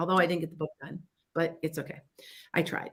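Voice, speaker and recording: A woman speaks in an animated tone with a Chicago accent. Her voice has a bright, sharp tone. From US Midwest, Wisconsin-Illinois border. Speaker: psychic radio host. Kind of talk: casual talk radio advice. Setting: internet radio studio, live stream. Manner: animated, halting with frequent restarts.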